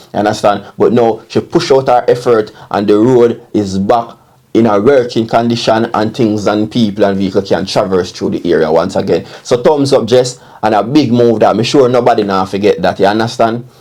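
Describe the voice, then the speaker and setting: A man's medium-pitched, dark and mellow voice with a Jamaican accent, at a moderate pace with ordinary pitch variation. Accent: Jamaican Patois-inflected English. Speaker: online commentator. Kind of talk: casual commentary. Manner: repetitive filler 'you understand'.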